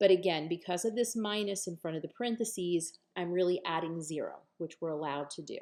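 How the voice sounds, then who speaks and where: A woman at a medium pitch speaks with lively intonation. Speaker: math instructor. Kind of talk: lecture. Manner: slow.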